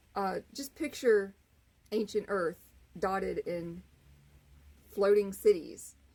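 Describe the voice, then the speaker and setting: At a very slow pace, a woman speaks at medium pitch in a dark, mellow tone. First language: not English. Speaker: author and channel owner. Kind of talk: casual vlog monologue. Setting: outdoors on front porch. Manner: halting, many fillers.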